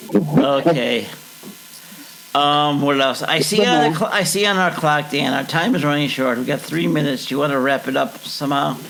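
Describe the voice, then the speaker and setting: A man with an American accent and a fairly high pitch is heard amid noticeable background noise and audible room echo. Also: ordinary pitch variation, moderate pace. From Chicago, US Midwest. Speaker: podcast co-host. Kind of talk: casual chat.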